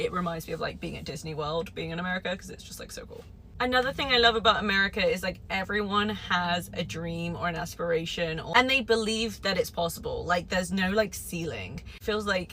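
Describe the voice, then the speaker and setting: A woman with a British accent speaks in an animated tone at a fairly quick pace, with hardly any pauses and big swings in loudness. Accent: British accent, mistaken for Australian. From England. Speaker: British expat vlogger. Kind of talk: casual vlog talk.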